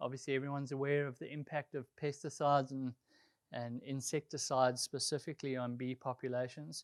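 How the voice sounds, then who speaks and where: Speaking at a fairly quick pace in a flat monotone, a man with a South African accent and medium pitch is heard in a very clean recording with a silent background and a dry, close sound with no echo. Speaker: golf course superintendent. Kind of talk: presentation. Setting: conservation group meeting. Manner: casual, with frequent fillers.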